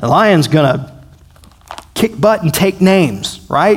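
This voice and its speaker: A man talks with a Southern US accent. His pace is fairly slow. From US South. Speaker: pastor. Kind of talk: bible study. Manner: halting; animated.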